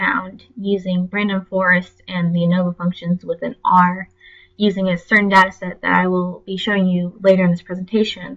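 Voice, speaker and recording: At a moderate pace, a woman talks in a somewhat breathy voice with a medium pitch. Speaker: graduate student presenter. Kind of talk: class presentation.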